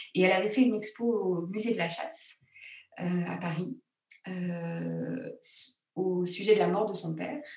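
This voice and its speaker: Amid audible room echo, a woman with vocal fry and a medium pitch talks at a fairly slow pace with long, frequent pauses and ordinary pitch variation. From France, Grenoble. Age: 40s. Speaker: secular funeral celebrant, former theatre actress. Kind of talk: casual interview. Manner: hesitant, many fillers.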